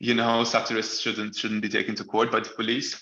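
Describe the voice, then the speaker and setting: A man speaks at a medium pitch in a bright, sharp tone. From Malta. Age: 20s. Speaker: law graduate and press freedom advocate. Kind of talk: online talk presentation. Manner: halting, many fillers and repetitions.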